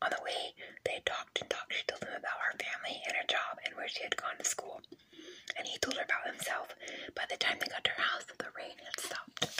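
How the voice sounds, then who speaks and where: A woman whispering at a very fast pace over noticeable background noise. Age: 30s. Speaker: ASMR creator. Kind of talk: scary story reading. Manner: whispered.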